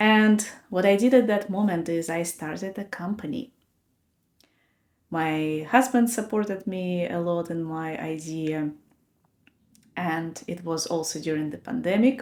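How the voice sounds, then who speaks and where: Fairly low in pitch, a woman speaks at a fairly slow pace with ordinary pitch variation. Long, frequent pauses break up her speech, and her loudness swings widely. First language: not English. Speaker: podcast host. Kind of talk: personal reflection talk.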